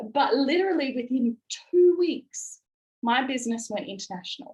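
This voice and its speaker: With a strong Australian accent, a woman speaks in an animated tone at a high pitch. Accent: broad Australian. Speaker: network marketing business leader. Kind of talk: motivational presentation.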